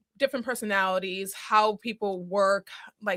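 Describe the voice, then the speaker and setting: A woman speaks with an American accent in a bright, sharp tone at a moderate pace. Her intonation stays fairly even, and the sound is dry and close with no echo. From Boston area, Massachusetts. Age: 30s. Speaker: small business owner, single mother. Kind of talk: podcast interview.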